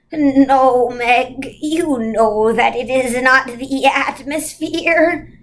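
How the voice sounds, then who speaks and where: A put-on character voice speaking at a very slow pace with hardly any pauses and ordinary pitch variation. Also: woman, high pitch for a woman. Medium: read story. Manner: commanding, solemn.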